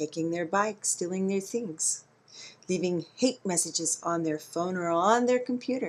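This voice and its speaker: A woman with a normal speaking voice talks fairly slowly, her fairly low pitch moving with lively intonation. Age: 50s. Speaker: vlogger. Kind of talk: video monologue. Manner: conversational.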